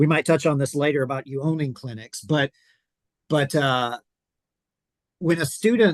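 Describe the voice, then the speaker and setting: In a Southern US accent, a man talks at a fairly quick pace and fairly high pitch, with a dry, close sound and no echo. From US South (South Georgia). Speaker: podcast host, pastor. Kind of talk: interview podcast.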